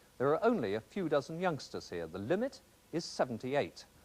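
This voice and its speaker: A man's voice shows vocal fry and very wide pitch swings on a very clean recording with a silent background. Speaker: TV news presenter. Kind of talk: TV news report narration.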